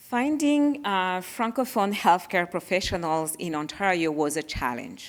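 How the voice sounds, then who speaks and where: On a very clean recording with a silent background, a woman speaks at a fairly slow pace. Her pitch swings very widely. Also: medium pitch for a woman. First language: French. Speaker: parent of child with sickle cell disease. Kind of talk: panel presentation.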